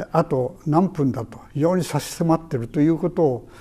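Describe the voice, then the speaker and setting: Speaking at a fairly slow pace, a man with a dark, mellow tone shows ordinary pitch variation. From Hiroshima, Japan; Japan. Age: 80s+. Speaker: atomic bomb survivor. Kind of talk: testimony. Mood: calm, earnest storytelling. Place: home room.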